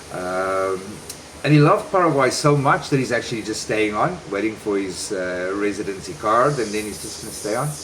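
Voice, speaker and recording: Lively intonation at a fairly quick pace, with audible room echo and noticeable background noise. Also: man, fairly low pitch for a man. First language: not Spanish. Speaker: vlogger and relocation service provider. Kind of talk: casual vlog talk.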